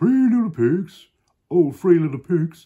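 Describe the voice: Putting on a character voice, a man speaks high in pitch at a fairly slow pace.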